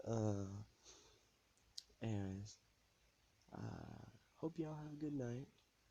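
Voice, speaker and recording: Soft-spoken and with a dark, mellow tone, a man talks at a fairly slow pace, pausing long and often. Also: medium pitch for a man, lively intonation. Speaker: podcast host. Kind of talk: casual monologue podcast. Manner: rambling, hesitant. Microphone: too quiet, ambient noise.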